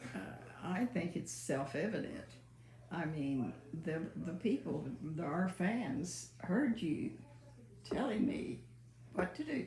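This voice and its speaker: Speaking very slowly with long, frequent pauses, a woman uses a fairly low pitch and very wide pitch swings while room echo is audible. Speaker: mother, co-host. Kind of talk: casual chat. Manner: quiet, soft-spoken; halting.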